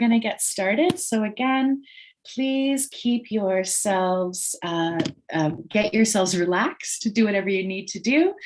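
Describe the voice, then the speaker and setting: In a normal speaking voice, a woman of medium pitch talks at a moderate pace with lively intonation over a quiet background. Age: middle-aged. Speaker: webinar host. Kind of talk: online presentation introduction.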